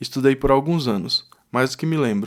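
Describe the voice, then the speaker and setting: A Brazilian accent with ordinary pitch variation, on a very clean recording with a silent background. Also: man. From Brazil, Brasília (Taguatinga). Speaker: podcast host, language learner. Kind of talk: scripted podcast monologue.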